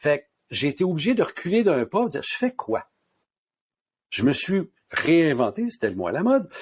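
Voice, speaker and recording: A man speaks in a Quebec accent at a high pitch. His moderate pace carries very wide pitch swings. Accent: Québécois French. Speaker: pharmacist and author. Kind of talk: interview.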